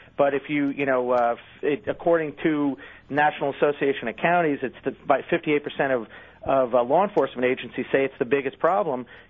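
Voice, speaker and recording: Speaking at a fairly quick pace with an American accent, a man has a plain, everyday voice, a fairly high pitch and ordinary pitch variation. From US Northeast. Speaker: magazine editor. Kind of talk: interview.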